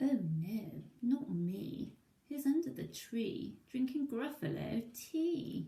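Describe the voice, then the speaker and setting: A put-on character voice, female-sounding and fairly high in pitch, at a very slow pace. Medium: read story.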